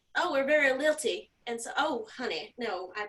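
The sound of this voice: A woman uses a put-on character voice with a Southern US accent, high in pitch and sing-song. Her pitch swings very widely at a moderate pace. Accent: Southern American.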